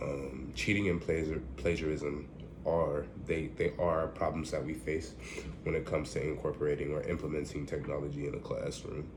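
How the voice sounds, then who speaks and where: Vocal fry marks a man's very deep, low voice, delivered at a moderate pace with fairly even intonation. Audible room echo surrounds it. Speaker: student giving a class presentation. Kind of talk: recorded class presentation. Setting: at home. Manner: halting, many fillers.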